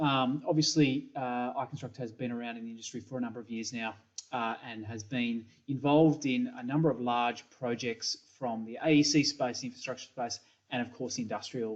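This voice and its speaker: A man's medium-pitched voice in an Australian accent, fairly quick and fairly even in intonation, with big swings in loudness. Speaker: software company principal. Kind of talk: conference presentation. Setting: pre-recorded video presentation. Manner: hesitant with many fillers.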